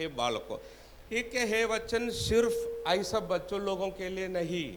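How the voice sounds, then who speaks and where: Audible room echo surrounds a man speaking with a Tamil accent. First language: Tamil (speaking Hindi). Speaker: preacher. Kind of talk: sermon.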